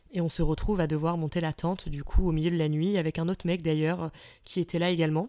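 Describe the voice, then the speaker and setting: A woman speaks in a dark, mellow tone. Her pitch is fairly low and her intonation fairly even. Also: very clean recording, silent background. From France, Île-de-France (Fontainebleau) and Troyes. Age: 30s. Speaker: podcaster. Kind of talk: casual solo storytelling. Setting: solo at the microphone. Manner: spontaneous, many hesitations (euh).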